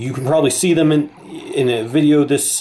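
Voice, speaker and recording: Noticeable background noise surrounds a man who talks at a moderate speed, his pitch shifting in an ordinary way. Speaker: game developer. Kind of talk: casual game demo talk. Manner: hesitant, many fillers.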